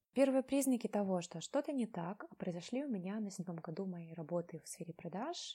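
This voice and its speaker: A woman's somewhat breathy, dark, mellow voice at medium pitch, fairly quick pace, with lively intonation and big swings in loudness. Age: 20s. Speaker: artist. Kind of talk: personal story.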